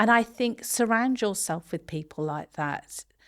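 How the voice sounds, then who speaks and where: Lively intonation from a woman with an English accent and a fairly high pitch, on a very clean recording with a silent background. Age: 50s. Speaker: construction social value lead. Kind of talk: podcast interview.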